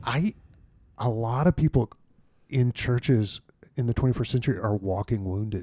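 A man with a medium-pitched voice and a dark, mellow tone speaks at a moderate pace with ordinary pitch variation, leaving long, frequent pauses, in a dry, close recording with no echo. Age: 50s. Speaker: senior pastor. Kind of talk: casual chat. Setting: studio.

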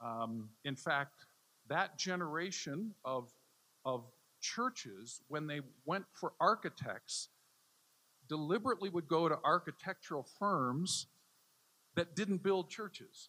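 A man's fairly high voice with an American accent, bright, sharp tone, lively intonation, fairly slow pace and long, frequent pauses, in a dry, close sound with no echo. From US Midwest, Chicago area. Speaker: theology professor. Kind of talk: lecture.

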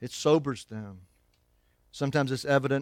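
Here a man talks at a moderate pace. His pitch is medium and his intonation fairly even. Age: 50s. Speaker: pastor. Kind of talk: sermon.

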